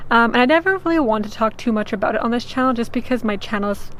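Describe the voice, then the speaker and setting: A woman speaks at a very fast pace while noticeable background noise continues behind her. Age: 20s. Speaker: vlogger. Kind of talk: personal vlog testimony. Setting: on a sailboat. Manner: casual, many filler ums.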